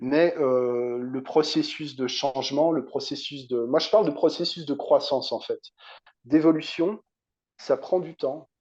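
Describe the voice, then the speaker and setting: Against a quiet background, the man talks fairly slowly. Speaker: hypnotherapist. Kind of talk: interview conversation.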